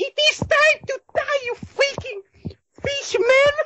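A female-sounding voice puts on a character voice at an extremely high pitch and a fairly slow pace. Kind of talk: over-the-top, fake, dramatic. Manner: aggressive, threatening.

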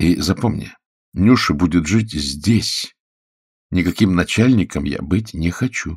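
Putting on a character voice, a man speaks fairly slowly and low-pitched with a husky, rough edge and lively intonation in a very clean recording with a silent background.

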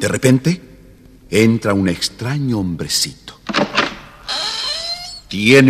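With an Argentine accent, a man speaks at a fairly slow pace in a fairly bright tone with a slightly husky edge and lively intonation.

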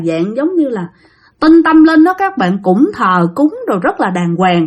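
A woman speaks fairly slowly in a high voice, her pitch swinging widely.

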